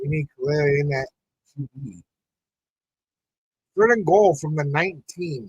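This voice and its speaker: The speech moves at a fairly slow pace with long, frequent pauses, lively intonation, big swings in loudness and a somewhat breathy quality, all in a dry, close sound with no echo. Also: man, fairly high pitch for a man. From New Mexico. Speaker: sports podcast host. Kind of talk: live watch-party commentary. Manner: casual, animated.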